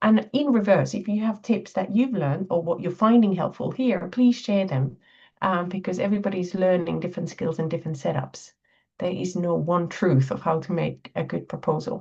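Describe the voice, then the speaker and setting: With a Finnish accent, a woman speaks at medium pitch and moderate pace, using ordinary pitch variation, vocal fry, and a dark, mellow tone. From Finland. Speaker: botanist, grants committee chair. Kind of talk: webinar workshop presentation.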